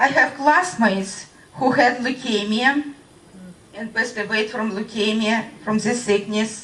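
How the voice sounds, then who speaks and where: A woman speaks at a fairly high pitch and a fairly slow pace, in a Russian accent. Noticeable background noise sits behind her. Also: ordinary pitch variation. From Russia (Voronezh). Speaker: radiation-affected witness. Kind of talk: testimony. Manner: halting.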